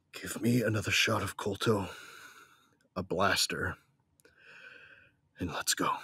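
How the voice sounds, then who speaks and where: Putting on a character voice, a man sounds raspy, gruff and furious, speaking fairly low in pitch at a moderate pace with long, frequent pauses. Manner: gruff, grieving then furious.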